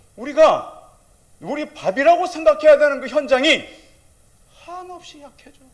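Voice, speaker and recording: Extremely high-pitched for a man, this speaker talks at a fairly slow pace in an animated tone. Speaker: pastor. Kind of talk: sermon. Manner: loud.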